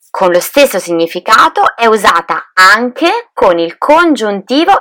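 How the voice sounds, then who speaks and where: The tone is bright and sharp. Delivery comes at a fairly slow pace. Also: woman. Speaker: Italian language teacher, podcast co-host. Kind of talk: scripted language lesson. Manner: clear, didactic.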